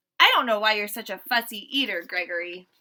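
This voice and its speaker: A woman performs a put-on character voice. Her pitch is medium and her pace fairly quick. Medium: read story.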